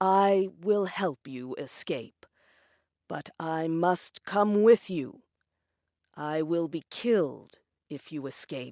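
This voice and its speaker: Put-on character voice from a woman, fairly low in pitch, very slow with long, frequent pauses, lively intonation, and big swings in loudness, on a very clean recording with a silent background and a dry, close sound with no echo. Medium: audio drama. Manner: calm, earnest.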